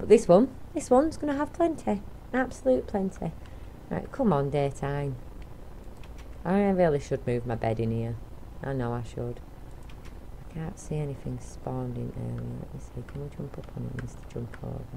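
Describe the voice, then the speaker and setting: Mumbling at a moderate pace with long, frequent pauses and big swings in loudness, a woman with an English accent speaks amid audible room echo. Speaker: gaming YouTuber. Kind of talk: let's play commentary. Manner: casual, rambling with repetitions.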